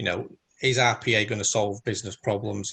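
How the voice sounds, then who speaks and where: A man with a northern English accent talks at a very fast pace in a bright, sharp tone. His fairly low pitch stays monotone and flat. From northern England. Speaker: independent automation consultant. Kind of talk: presentation in virtual round table. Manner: hesitant with many fillers.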